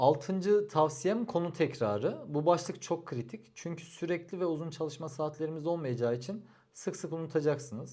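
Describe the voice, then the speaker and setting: The voice has a dark, mellow tone and ordinary pitch variation. It moves at a moderate pace with hardly any pauses. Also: man, fairly high pitch for a man. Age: 30s. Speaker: civil engineer giving exam advice. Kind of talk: advice vlog monologue.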